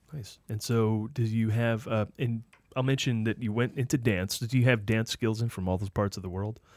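A man's unremarkable speaking voice at medium pitch with fairly even intonation, on a very clean recording with a silent background. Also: moderate pace. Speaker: radio show host. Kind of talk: casual interview chat.

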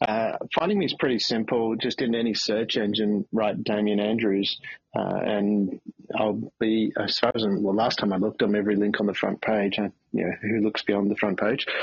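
A man with an Australian accent speaks at a fairly quick pace in a fairly low pitch, his intonation monotone and flat and his loudness very even. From Australia, country Victoria. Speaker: CEO and motivational speaker. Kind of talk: interview. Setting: remote call from a beach house.

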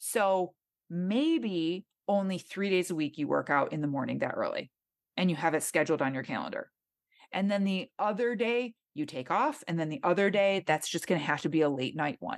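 Woman at a medium pitch with lively intonation, on a very clean recording with a silent background. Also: moderate pace. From Michigan. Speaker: fitness trainer and podcast host. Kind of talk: interview.

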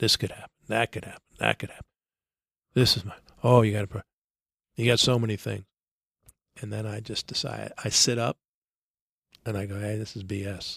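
Over a dry, close sound with no echo, a man speaks at a fairly quick pace but with long, frequent pauses. His voice is fairly low-pitched, monotone and flat, with vocal fry. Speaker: baseball coach. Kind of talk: interview.

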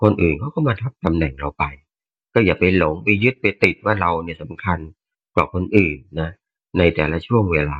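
There is ordinary pitch variation in this man's very deep, low voice. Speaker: listener sharing reflections. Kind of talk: casual sharing in online Dharma session.

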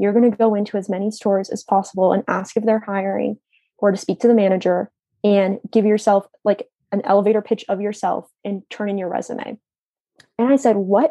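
A woman with an American accent has an ordinary speaking voice, medium in pitch, with fairly even intonation at a fairly quick pace. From US, northern Virginia (Leesburg). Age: 20s. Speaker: university student. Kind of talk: casual interview.

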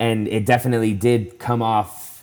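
This man has a normal speaking voice with fairly low pitch. He speaks at a fairly slow pace. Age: 20s. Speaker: professional CrossFit athlete. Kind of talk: casual interview chat. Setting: remote call from home.

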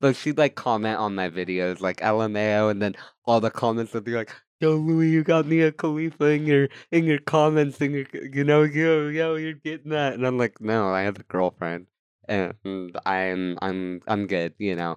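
The sound is dry and close with no echo as a man speaks at a moderate pace, his pitch swinging very widely. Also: medium pitch for a man. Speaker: content creator and musician. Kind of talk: casual chat. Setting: studio. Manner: loud.

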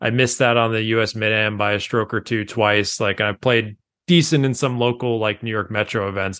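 A man with a normal speaking voice and medium pitch keeps a moderate pace and fairly even intonation over a quiet background. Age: 30s. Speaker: golf writer and amateur golfer. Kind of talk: casual chat.

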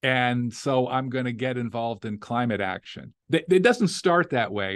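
Against a quiet background, a man with an American accent talks at a moderate pace and medium pitch in a plain, everyday voice. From Las Vegas, Nevada. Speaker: law professor and author. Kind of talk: interview.

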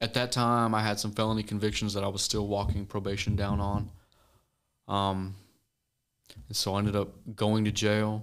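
Speaking at a moderate pace, a man with an American accent has a fairly low pitch. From Missouri, US Midwest. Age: 20s. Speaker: recovering addict and ministry guest. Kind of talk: casual interview, testimony.

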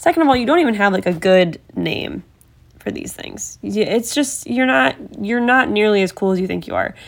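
Someone with an American accent speaks at a moderate pace with very wide pitch swings in a very clean recording with a silent background. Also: woman, medium pitch for a woman. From Ohio. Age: 30s. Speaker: true crime podcast host. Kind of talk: casual true crime narration. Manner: animated.

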